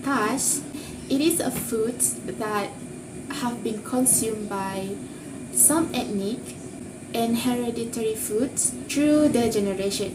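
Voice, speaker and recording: A woman with a non-native accent speaks at a very slow pace and fairly high pitch, with ordinary pitch variation and long, frequent pauses. Audible room echo and noticeable background noise fill the recording. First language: not English. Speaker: university student. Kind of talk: class presentation.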